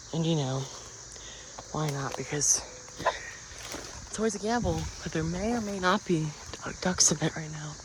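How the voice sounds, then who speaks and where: A man speaks at a moderate pace with fairly high pitch and ordinary pitch variation. His long, frequent pauses come over noticeable background noise. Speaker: outdoor vlogger. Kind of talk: casual vlog narration. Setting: outdoors in a forest. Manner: halting; whispering.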